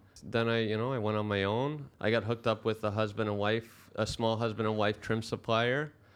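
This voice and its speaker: A man with a Canadian accent talks fairly quickly at a medium pitch in a monotone, flat intonation. His loudness stays very even against a quiet background. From Canada, Brampton, Ontario. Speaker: finish carpenter. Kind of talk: casual chat.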